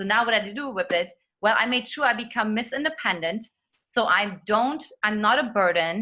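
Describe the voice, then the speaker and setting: A woman with a German accent speaks at a moderate pace in a bright, sharp tone, her fairly high pitch showing ordinary variation. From Eastern Germany. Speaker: dating coach. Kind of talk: interview.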